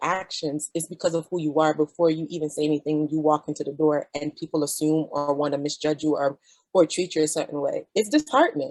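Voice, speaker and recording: In a Jamaican accent, a woman with a very deep, low pitch speaks at a fairly quick pace with fairly even intonation and a dry, close sound with no echo. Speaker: physician. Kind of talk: panel discussion.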